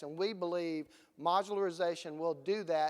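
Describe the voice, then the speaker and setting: This is a man talking with a Southern US accent. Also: very clean recording, silent background. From US Gulf Coast. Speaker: conference presenter. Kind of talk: conference presentation. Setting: stage with audience.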